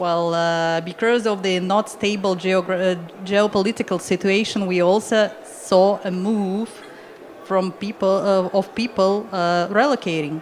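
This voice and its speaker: A woman with a Russian accent speaks at a fairly slow pace, at a medium pitch. Her intonation is fairly even, and background noise is noticeable. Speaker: immigration consultant. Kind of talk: panel discussion. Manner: halting.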